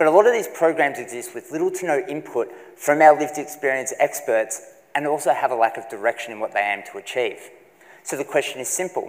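Against a quiet background, a man talks at a very fast pace with a fairly high pitch and big swings in loudness. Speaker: PhD candidate; candidate. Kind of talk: three-minute research presentation. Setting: stage with audience. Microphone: lapel.

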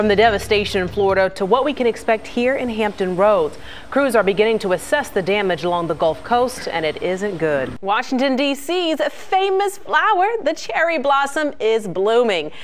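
A woman with an ordinary speaking voice talks at a moderate pace with hardly any pauses. Her pitch is fairly high and her intonation is lively. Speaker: TV news anchor and reporter. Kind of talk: TV news anchor read. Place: studio. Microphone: lapel.

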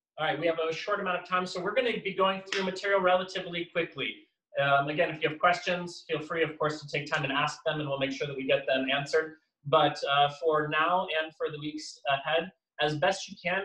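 With audible room echo, a man speaks at a fairly quick pace using fairly even intonation. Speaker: acrobatics instructor. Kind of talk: tutorial. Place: home room. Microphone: camera far.

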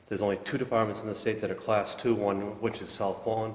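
A man with a fairly low pitch talks at a very fast pace in a monotone, flat delivery, with audible echo from the room. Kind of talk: public meeting report. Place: hall. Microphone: podium.

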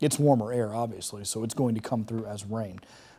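Speaking very fast, a man has a dark, mellow tone that stays upbeat. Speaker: TV meteorologist. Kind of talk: live TV weather forecast walking through radar maps. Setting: TV studio. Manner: casual, conversational delivery with filler words; upbeat and friendly. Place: studio.

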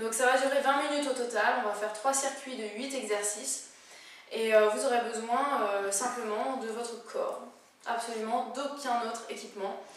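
A woman at a moderate pace with fairly even intonation, in a room with audible echo. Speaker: fitness instructor. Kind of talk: workout tutorial. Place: home room. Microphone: camera far.

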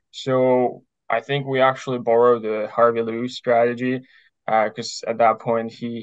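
A man at a fairly slow pace over a quiet background. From Ukraine. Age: 20s. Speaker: ultramarathon runner. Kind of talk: interview. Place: home room. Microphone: earbuds.

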